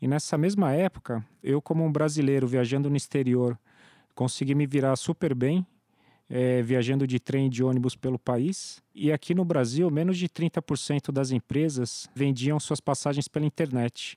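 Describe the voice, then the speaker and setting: A man's fairly high voice with a dark, mellow tone, ordinary pitch variation, a moderate pace and very even loudness, on a very clean recording with a silent background and a dry, close sound with no echo. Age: 30s. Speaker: startup founder. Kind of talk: interview.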